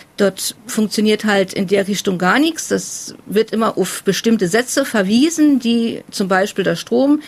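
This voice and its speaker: Speaking fairly slowly with hardly any pauses, a woman uses lively intonation and a fairly high pitch while keeping her loudness very even. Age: 40s. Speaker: family carer. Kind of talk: interview testimony.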